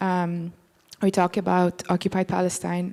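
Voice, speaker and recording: A woman speaks at a medium pitch with a non-native accent. The recording is very clean, with a silent background. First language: not English. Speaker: artist. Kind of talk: panel discussion. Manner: hesitant, many fillers.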